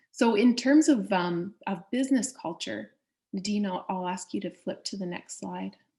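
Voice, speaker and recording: A woman's medium-pitched voice with a dark, mellow tone and vocal fry, lively intonation, big swings in loudness and a moderate pace. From Canada. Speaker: trade and investment official. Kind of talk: presentation.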